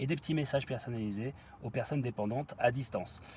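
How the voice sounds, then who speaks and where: The man's voice is medium in pitch with a dark, mellow tone. It's somewhat breathy, with ordinary pitch variation. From Normandy, France. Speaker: podcast host. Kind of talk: interview. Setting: outdoors by a river.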